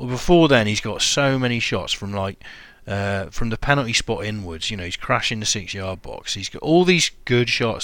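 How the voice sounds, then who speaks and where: Speaking at a moderate pace, a man has a British accent and a fairly low pitch. His pitch variation is ordinary. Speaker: podcast host. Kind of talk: casual chat.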